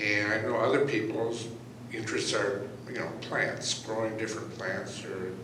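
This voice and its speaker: The speech moves at a fairly slow pace. There is noticeable background noise and audible room echo. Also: man. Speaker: audience member. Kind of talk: audience comment.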